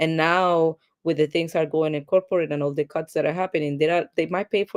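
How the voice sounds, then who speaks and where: Speaking very fast in a Spanish accent, a woman with a fairly low voice keeps a fairly even intonation, the sound dry and close with no echo against a quiet background. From Colombia. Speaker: tech executive, product manager. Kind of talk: interview.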